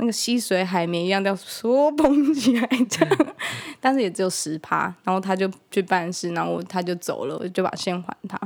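A plain, everyday voice from a woman, medium in pitch, with lively intonation and a moderate pace. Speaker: podcast co-host. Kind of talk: casual chat.

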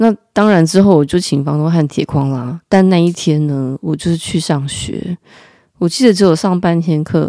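In a dry, close sound with no echo, a woman with a Taiwanese accent speaks at a fairly low pitch and moderate pace, with a dark, mellow tone and ordinary pitch variation. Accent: Taiwanese Mandarin. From Taiwan, Taipei. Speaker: podcast host. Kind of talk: casual storytelling monologue.

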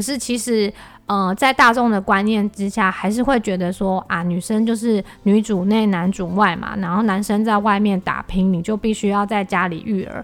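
In an unremarkable speaking voice, a woman talks at medium pitch and a moderate pace with fairly even intonation. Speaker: podcast host and entrepreneur. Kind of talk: solo podcast monologue.

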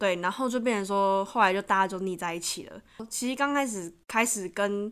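On a very clean recording with a silent background, a woman with an ordinary speaking voice talks at a moderate pace in a medium pitch with ordinary pitch variation. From Taiwan. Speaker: podcast guest, student abroad. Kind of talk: casual chat.

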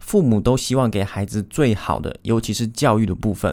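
Speaking at a fairly quick pace is a man with a Taiwanese accent. His pitch is medium. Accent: Taiwanese Mandarin. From Taiwan, Taichung. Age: 20s. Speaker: podcast host, online course creator. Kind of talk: solo podcast monologue.

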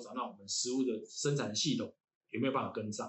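Very fast, somewhat breathy speech with fairly even intonation and a Taiwanese accent. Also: man. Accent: Taiwanese Mandarin. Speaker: university lecturer in environmental engineering. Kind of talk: casual interview chat. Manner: halting, many fillers and repetitions.

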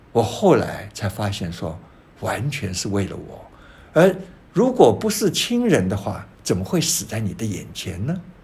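Speaking at a fairly slow pace, a man of medium pitch makes very wide pitch swings, with audible room echo around him. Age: 70s. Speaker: painter and writer. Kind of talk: interview. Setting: his painting studio.

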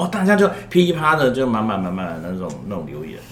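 Fairly quick speech with very wide pitch swings comes through noticeable background noise and audible room echo. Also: man. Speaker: school guidance counselor. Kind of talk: casual chat.

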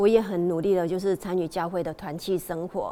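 A woman's dark, mellow tone sits at medium pitch with fairly even intonation. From Taiwan, Tainan. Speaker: hairdresser. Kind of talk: testimony.

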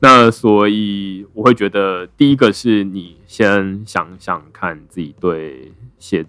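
A man talks very slowly at a fairly low pitch. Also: ordinary pitch variation. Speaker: blockchain writer and founder. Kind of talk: casual interview chat.

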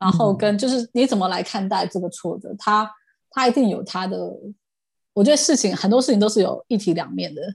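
Against a quiet background, a woman talks at a fairly quick pace in a fairly high pitch. Her tone is animated and somewhat breathy. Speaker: podcast guest sharing life story. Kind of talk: casual interview chat. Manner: animated, frequent laughter.

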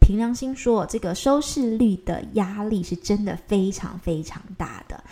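Speaking in a Taiwanese accent, a woman uses lively intonation at a fairly slow pace. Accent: Taiwanese Mandarin. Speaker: news anchor and podcast host. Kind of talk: solo podcast monologue. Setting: recording at home. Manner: casual, chatty.

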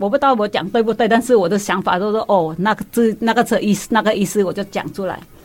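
A woman with a Vietnamese accent at a very fast pace, with hardly any pauses. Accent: Vietnamese-accented Mandarin. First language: Vietnamese (speaking Chinese). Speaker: guest, immigrant mother. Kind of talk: casual chat.

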